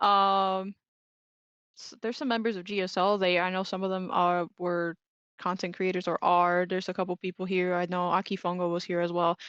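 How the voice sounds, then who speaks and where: A woman talks at a fairly quick pace in a medium-pitched, monotone, flat delivery. The sound is dry and close with no echo, over a quiet background. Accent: Spanish. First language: Spanish. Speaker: esports tournament commentator. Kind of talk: live commentary. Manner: casual, hesitant with fillers.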